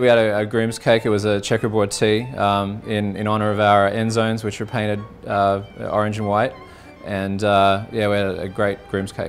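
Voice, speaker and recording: Over music in the background, a man with an Australian accent speaks at a moderate pace with fairly low pitch and monotone, flat intonation. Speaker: college football fan. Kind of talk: interview answer. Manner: casual, hesitant.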